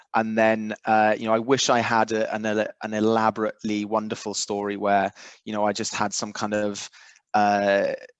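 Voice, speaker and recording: Over a quiet background, a man with a Welsh accent talks at a moderate pace in a fairly low, flat monotone. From South Wales. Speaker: recovery fellowship member. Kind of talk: testimony. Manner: halting.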